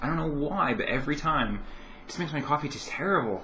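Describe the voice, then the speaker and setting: There's audible room echo around a man's voice. He speaks fairly quickly with a bright, sharp tone. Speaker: vlogger. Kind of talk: casual vlog chat. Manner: hesitant, many fillers.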